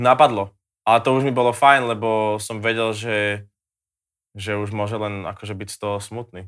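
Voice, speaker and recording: A man's fairly low, monotone voice with flat intonation and big swings in loudness, at a moderate pace on a very clean recording with a silent background. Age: young. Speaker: singer. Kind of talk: casual chat.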